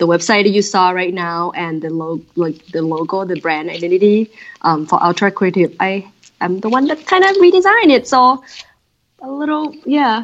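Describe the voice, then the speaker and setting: In a Thai accent, the speaker keeps a moderate pace while the pitch swings very widely. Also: woman, medium pitch for a woman. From Thailand. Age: 30s. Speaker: design director. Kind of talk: interview. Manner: animated.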